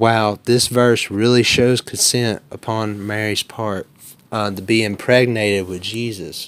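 Delivered in an Alabama accent, the speech moves at a fairly slow pace with monotone, flat intonation. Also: man, medium pitch for a man. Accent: Southern US (Alabama). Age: 20s. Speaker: debater. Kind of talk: formal debate opening statement.

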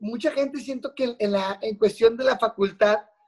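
The intonation of this man's speech stays fairly even. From Monterrey, Mexico. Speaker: radio announcer. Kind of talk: casual chat. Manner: heavy slangy casual delivery.

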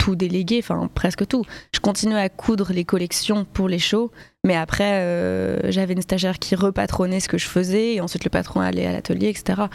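At a moderate pace, a woman of medium pitch speaks in a monotone, flat intonation. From Paris, France. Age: 20s. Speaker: fashion designer. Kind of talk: casual interview.

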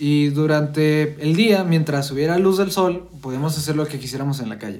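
A man's fairly high voice in a Mexican accent. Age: 20s. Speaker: podcast co-host. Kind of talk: casual chat.

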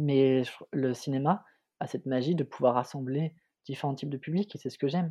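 Fairly quick speech from a man with a fairly high pitch and a dark, mellow tone, fairly even intonation, long and frequent pauses, and a quiet background. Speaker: film student and podcast co-host. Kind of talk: casual chat.

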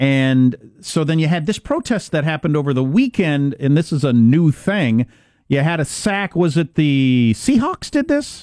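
A man with a fairly high-pitched, normal speaking voice talks at a moderate pace with lively intonation over a quiet background. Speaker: radio host. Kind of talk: casual banter, talk radio. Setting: studio.

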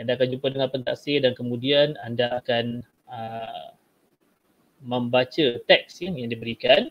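An ordinary speaking voice with fairly even intonation and big swings in loudness. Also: man, medium pitch for a man. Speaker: Malay language teacher. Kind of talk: tutorial, exam technique talk. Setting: video call webinar, screen share.

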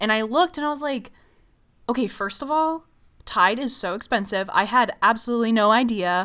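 A woman speaks loudly at a fairly high pitch with lively intonation and a bright, sharp tone. The recording is very clean with a silent background. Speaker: podcast co-host. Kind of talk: casual chat.

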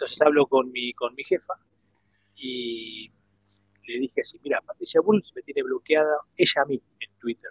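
The man speaks at a moderate pace with long, frequent pauses and big swings in loudness. The sound is dry and close, with no echo. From Argentina, Avellaneda (Buenos Aires suburbs). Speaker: former footballer and comedian. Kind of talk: casual interview.

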